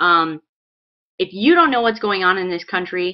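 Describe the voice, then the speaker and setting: An unremarkable speaking voice from a woman with an American accent, medium in pitch and at a fairly quick pace. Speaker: political video blogger. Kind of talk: political commentary vlog.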